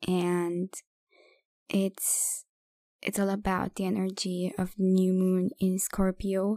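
The voice has a calm, soothing, dark and mellow tone at a very slow pace. The sound is dry and close with no echo, on a very clean recording with a silent background. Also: woman. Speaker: podcast host and poet. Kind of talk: poetry reading, spoken word. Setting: solo recording. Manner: slow, calm, soothing; gentle, meditative, with pauses.

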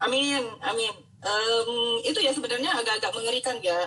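Speaking at a moderate pace, this woman has a plain, everyday voice pitched fairly high. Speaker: doctor, health educator host. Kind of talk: casual interview. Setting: Instagram live stream.

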